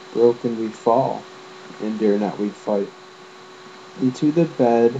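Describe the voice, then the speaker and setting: Mumbling with ordinary pitch variation, a man speaks over noticeable background noise. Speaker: amateur poet. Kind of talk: poetry reading.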